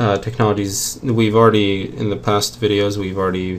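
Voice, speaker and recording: A soft-spoken man talks at a fairly low pitch. His pitch varies in an ordinary way. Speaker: game developer streaming programming. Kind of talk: programming tutorial commentary. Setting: home at night, screen recording. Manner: halting, many fillers.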